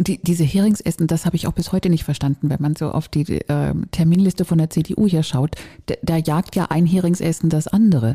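A woman with a dark, mellow, somewhat breathy tone speaks at a fairly quick pace, with fairly even intonation and very even loudness, in a dry, close recording with no echo. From northern Germany. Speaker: podcast co-host. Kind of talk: casual chat.

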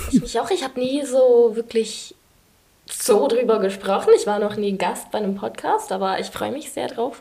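Speaking at a moderate pace, a woman has an unremarkable speaking voice, fairly high in pitch and with ordinary pitch variation. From England. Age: 20s. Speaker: student. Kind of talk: interview.

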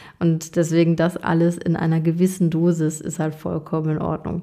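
With a dark, mellow tone and a fairly low pitch, a woman speaks at a moderate pace in a flat monotone. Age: 30s. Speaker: podcast host and coach. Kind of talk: solo monologue.

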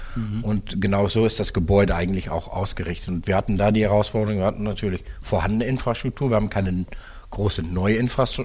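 A man rattles along at a very fast pace, his fairly low pitch paired with fairly even intonation. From Netherlands. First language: Dutch (speaking German). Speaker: car dealership executive. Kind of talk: interview.

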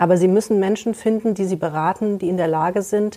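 Fairly quick speech in a dark, mellow tone. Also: woman. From Germany, Kassel. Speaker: lawyer and notary. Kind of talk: expert interview.

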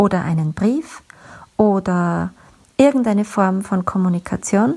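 A very slow, somewhat breathy delivery with a dark, mellow tone and ordinary pitch variation. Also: woman. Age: 40s. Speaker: podcast host, communication coach. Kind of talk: solo podcast monologue.

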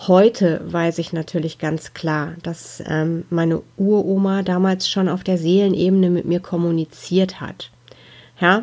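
Monotone, flat intonation at a fairly slow pace. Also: woman, fairly low pitch for a woman. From Ruhr area, Germany. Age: 40s. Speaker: spiritual medium, podcast host. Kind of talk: personal storytelling monologue.

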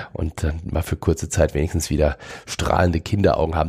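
Very deep and low, a man's voice moves at a fairly quick pace. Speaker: mentalist. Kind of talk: casual interview.

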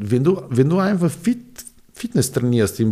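With a dark, mellow tone, a man speaks at a fairly slow pace and uses lively intonation. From Serbia, Belgrade. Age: 40s. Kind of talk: interview. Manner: halting.

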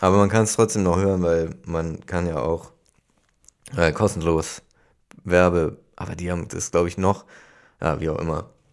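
On a very clean recording with a silent background, a man speaks at a very deep, low pitch and moderate pace, with fairly even intonation and long, frequent pauses. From Hamburg. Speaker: podcast co-host. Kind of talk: casual chat.

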